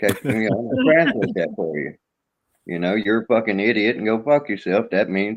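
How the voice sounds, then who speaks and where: A man speaks at a fairly quick pace in a fairly low pitch, with lively intonation. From US South. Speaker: live streamer. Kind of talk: casual live stream chat.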